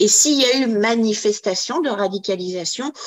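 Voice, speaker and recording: This woman speaks at a medium pitch. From Quebec. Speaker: radicalization prevention practitioner. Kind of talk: webinar panel discussion. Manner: halting, repeated words.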